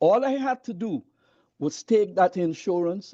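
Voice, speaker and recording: Against a quiet background, a man with a dark, mellow tone and lively intonation talks at a moderate pace, the sound dry and close with no echo. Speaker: minister. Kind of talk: audience comment in online session. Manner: halting, repeats words.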